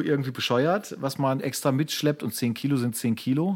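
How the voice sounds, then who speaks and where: This man has a plain, everyday voice, with medium pitch and ordinary pitch variation. He talks at a moderate pace in a very clean recording with a silent background. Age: 40s. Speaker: podcast co-host, photographer. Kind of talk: casual chat.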